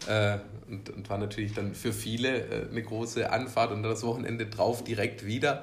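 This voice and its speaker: Somewhat breathy and monotone, with flat intonation, a man talks at a medium pitch and moderate pace amid audible room echo. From southern Germany, Swabia (Unterelchingen near Ulm). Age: 30s. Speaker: cheerleading company employee, former cheerleader. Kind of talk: interview. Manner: hesitant, many fillers.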